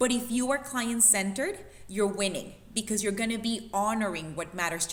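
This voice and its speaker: With audible room echo and noticeable background noise, a woman talks at a moderate pace. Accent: non-native. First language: not English. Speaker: fitness coach. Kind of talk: panel discussion. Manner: animated.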